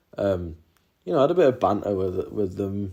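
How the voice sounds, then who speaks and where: With a northeast England accent, a man talks at a moderate pace in a fairly low voice with ordinary pitch variation. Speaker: YouTuber, former prison volunteer. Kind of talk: casual vlog monologue. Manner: hesitant, many fillers and repetitions.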